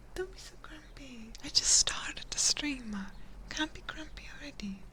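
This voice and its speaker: Over noticeable background noise, a woman is whispering with big swings in loudness. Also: moderate pace. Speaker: ASMR streamer. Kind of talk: ASMR livestream chat. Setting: livestream with binaural mic.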